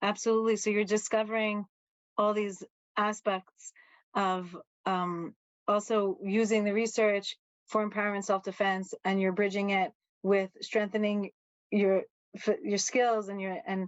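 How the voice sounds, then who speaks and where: Medium-pitched female voice in an American accent, monotone and flat, at a fairly slow pace with long, frequent pauses. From New York, Brooklyn. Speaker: podcast host. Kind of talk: podcast interview.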